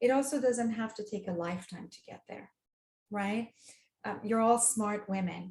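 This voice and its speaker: At a moderate pace, a woman with a medium pitch and ordinary pitch variation sounds somewhat breathy. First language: not English. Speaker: dating coach. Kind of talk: interview. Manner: hesitant, with restarts and fillers.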